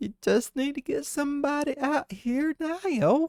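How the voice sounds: Pitched high, the speaker delivers a put-on character voice at a fairly slow pace.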